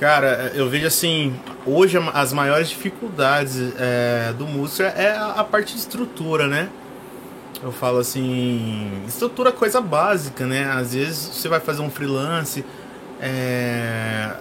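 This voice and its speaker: With noticeable background noise behind him, a man speaks in a fairly high pitch with lively intonation. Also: fairly slow pace. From Brazil, São Paulo state. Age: 30s. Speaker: musician and music teacher. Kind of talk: casual interview.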